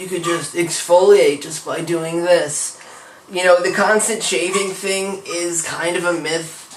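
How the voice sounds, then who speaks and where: Fairly even intonation at a fairly slow pace, with big swings in loudness and noticeable background noise. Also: man, high pitch for a man. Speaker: vlogger. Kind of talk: personal vlog. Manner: casual.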